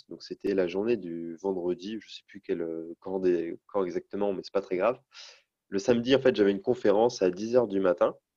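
The voice moves at a moderate pace with ordinary pitch variation and big swings in loudness, in a dry, close sound with no echo. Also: man, fairly low pitch for a man. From Brittany, north Finistère. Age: 20s. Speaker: adventurer cyclist. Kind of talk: interview. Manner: hesitant with fillers.

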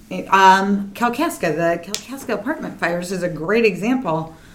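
A woman at a moderate pace, with ordinary pitch variation and audible room echo. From small town. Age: 30s. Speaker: nonprofit founder. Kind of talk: interview.

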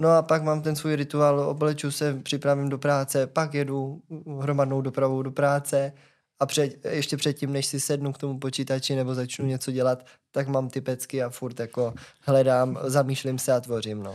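Over a very clean recording with a silent background, a man speaks at a moderate pace. His pitch is fairly high and his intonation flat and monotone. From Brno, South Moravia. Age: 20s. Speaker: stage performer, dancer. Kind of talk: casual chat.

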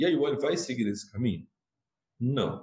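This man's voice is somewhat breathy. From Minas Gerais, Brazil. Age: 40s. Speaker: fintech revenue executive. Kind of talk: interview.

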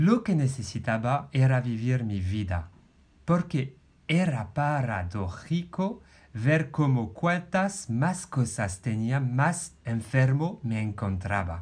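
A man with a French accent speaks at a very slow pace, his somewhat breathy, medium-pitched voice swinging very widely in pitch. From France. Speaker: podcast host, life coach. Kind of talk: personal storytelling.

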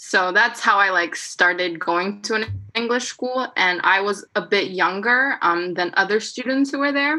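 A woman with a Korean accent talks at a moderate pace and medium pitch, her intonation lively and hardly any pauses in between. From South Korea. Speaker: podcast guest. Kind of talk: casual chat.

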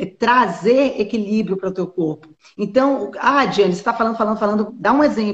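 Her voice somewhat breathy, a woman speaks at a medium pitch with lively intonation. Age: 40s. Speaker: nutritionist. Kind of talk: casual chat. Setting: live stream.

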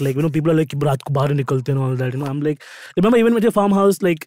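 Very fast, lively speech from a man with a fairly high pitch. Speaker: podcast co-host. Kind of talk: casual chat.

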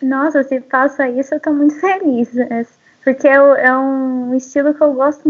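At a high pitch and a fairly slow pace, a woman speaks with monotone, flat intonation. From Brazil, São Paulo city. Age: 20s. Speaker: photographer and agronomy student. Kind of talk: casual interview. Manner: calm.

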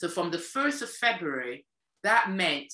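In a British accent, the speaker uses a bright, sharp tone with very wide pitch swings at a fairly slow pace. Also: woman. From UK, Caribbean family. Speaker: former EU official. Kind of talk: interview. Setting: video call.

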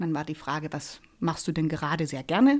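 A woman's normal speaking voice, with lively intonation and a moderate pace, on a very clean recording with a silent background. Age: 40s. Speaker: resilience trainer and life coach. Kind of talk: casual chat.

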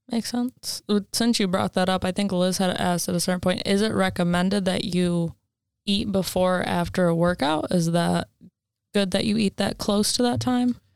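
Very clean recording with a silent background of a woman in an ordinary speaking voice, medium pitch, moderate pace and very even loudness. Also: ordinary pitch variation, dry, close sound with no echo. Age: 20s. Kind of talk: casual podcast chat.

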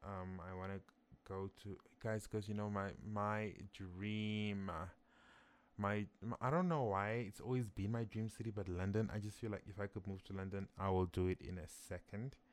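At a moderate pace, a man talks with fairly even intonation and a fairly low pitch. He has a normal speaking voice. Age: 20s. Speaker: podcast host. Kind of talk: casual solo monologue. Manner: conversational, with frequent fillers and restarts.

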